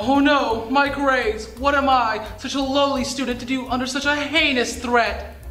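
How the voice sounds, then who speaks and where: Moderate pace against faint background music and audible room echo. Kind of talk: comedic skit monologue. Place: classroom.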